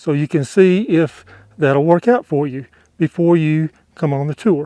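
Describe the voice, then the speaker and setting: In a dark, mellow tone, a man with a fairly high pitch and ordinary pitch variation talks at a fairly slow pace, heard dry and close with no echo against a quiet background. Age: 60s. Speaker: travel vlogger. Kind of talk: vlog commentary to camera.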